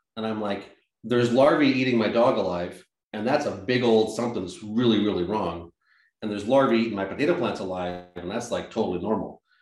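A man's fairly low voice at a very fast pace, with ordinary pitch variation, an American accent and audible room echo. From Massachusetts, US. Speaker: organic farmer and nonprofit director. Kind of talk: interview.

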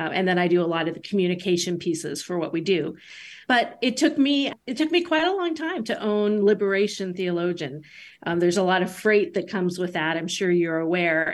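This woman has a normal speaking voice and talks at a fairly quick pace. Her pitch sits in the medium range, with lively intonation. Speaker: author, theologian. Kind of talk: interview discussing her book.

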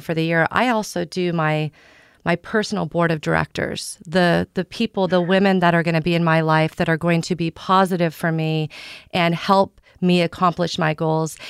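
A woman with a normal speaking voice and an American accent talks at a moderate pace, her pitch fairly low and her intonation fairly even, in a very clean, dry, close recording with a silent background and no echo. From US Midwest, Southeast Kansas. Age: 40s. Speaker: real estate broker. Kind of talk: casual chat.

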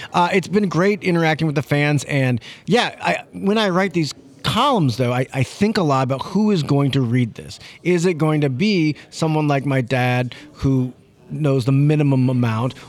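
In an American accent, a man talks at a moderate pace with an unremarkable speaking voice. His fairly high pitch carries lively intonation. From St. Louis, Missouri. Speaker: sports columnist. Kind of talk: casual chat.

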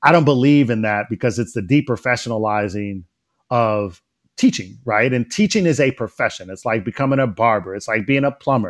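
Speaking fairly quickly, a man with an American accent uses a medium pitch and ordinary pitch variation. The recording is very clean with a silent background. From Detroit, Michigan. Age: 40s. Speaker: education scholar. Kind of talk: interview conversation. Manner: halting, many fillers.

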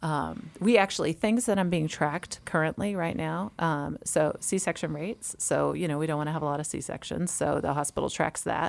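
A woman with an American accent speaks at a very deep, low pitch, with vocal fry. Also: ordinary pitch variation, moderate pace. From Massachusetts. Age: 40s. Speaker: obstetrician. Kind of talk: casual chat.

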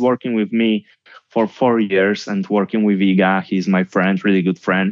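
At a moderate pace, a man talks with a Polish accent. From Poland (Gdynia). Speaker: tennis coach. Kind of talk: interview.

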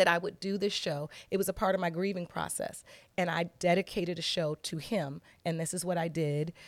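A woman with a normal speaking voice talks at a fairly quick pace in a fairly low pitch and fairly even intonation, recorded very cleanly against a silent background. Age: 50s. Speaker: TV judge. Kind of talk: casual chat.

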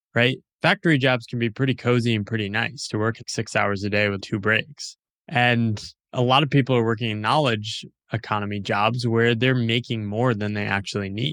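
A man with a plain, everyday voice speaks at a medium pitch and moderate pace with fairly even intonation, on a very clean recording with a silent background. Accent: American. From US, small town. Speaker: author and independent writer. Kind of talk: interview. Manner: casual.

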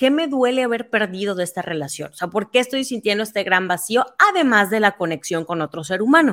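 Using an unremarkable speaking voice, a woman speaks at a fairly quick pace and a medium pitch with lively intonation. The recording is very clean, its background silent. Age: 30s. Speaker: writer and activist. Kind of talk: casual chat.

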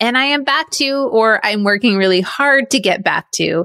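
The recording is very clean with a silent background and a dry, close sound with no echo. A woman in an ordinary speaking voice talks at a moderate pace, her fairly high pitch showing ordinary variation. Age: 40s. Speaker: podcast host. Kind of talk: solo monologue podcast.

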